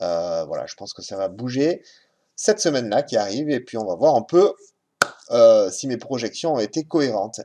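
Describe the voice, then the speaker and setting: The man's voice is medium-pitched and moves at a moderate pace. It shows very wide pitch swings and big swings in loudness. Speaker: market analyst. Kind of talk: market review commentary. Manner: halting.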